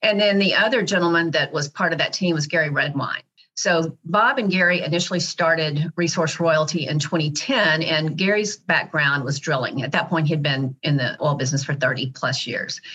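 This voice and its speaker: A woman with an American accent has an ordinary speaking voice and a fairly low pitch. She talks at a moderate pace with hardly any pauses. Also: ordinary pitch variation. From Dallas, Texas. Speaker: company CEO. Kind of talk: interview.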